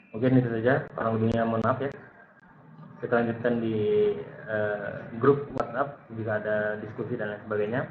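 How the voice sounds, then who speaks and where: A soft-spoken man talks at a fairly quick pace in a medium, monotone, flat voice, with long, frequent pauses, audible room echo and noticeable background noise. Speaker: lecturer. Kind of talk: online lecture.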